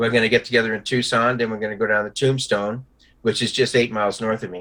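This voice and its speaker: Very fast speech from a man, medium-pitched with a bright, sharp tone and monotone, flat intonation. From New York. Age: 70s. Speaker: Vietnam veteran. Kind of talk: casual chat. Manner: halting.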